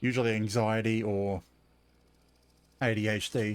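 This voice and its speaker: Flat, monotone intonation marks this man's medium-pitched delivery with an Australian accent. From Australia, Southeast Queensland. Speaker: game streamer. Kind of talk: casual live-stream commentary.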